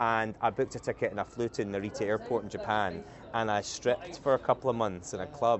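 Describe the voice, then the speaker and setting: A Scottish accent at a very fast pace. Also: man, medium pitch for a man, ordinary pitch variation. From Scotland, island off the west coast. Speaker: company CEO, podcast guest. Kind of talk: casual interview conversation. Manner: halting, many restarts.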